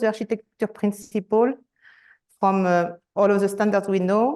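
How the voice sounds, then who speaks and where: A woman speaks with a French accent at a moderate pace. Her pitch is medium and her intonation fairly even. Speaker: enterprise architecture director. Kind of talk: conference presentation.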